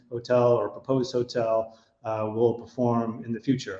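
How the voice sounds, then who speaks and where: With an American accent, a man speaks at a moderate pace and medium pitch in a dark, mellow tone. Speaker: hotel consulting executive. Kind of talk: webinar presentation.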